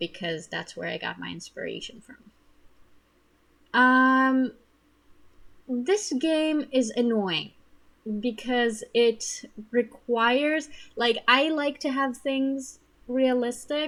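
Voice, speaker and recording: Delivered at a very slow pace with a non-native accent, the speech has lively intonation, big swings in loudness and long, frequent pauses. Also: woman, high pitch for a woman. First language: not English. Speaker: gaming video creator. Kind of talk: gameplay commentary. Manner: casual with many fillers.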